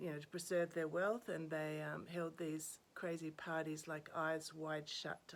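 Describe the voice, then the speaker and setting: A woman's fairly low voice with an Australian accent. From Australia, Sydney. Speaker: commentator. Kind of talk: casual monologue. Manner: halting.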